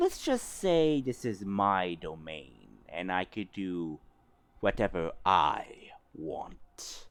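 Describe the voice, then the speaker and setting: A man puts on a character voice at a fairly low pitch. He speaks at a very slow pace in a very clean recording with a silent background. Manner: menacing.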